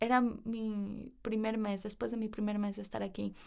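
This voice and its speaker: The woman's fairly high voice moves along at a fairly slow pace. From Ecuador (Cuenca, Guayaquil, Quevedo, Quito). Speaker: university student. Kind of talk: interview. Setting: studio.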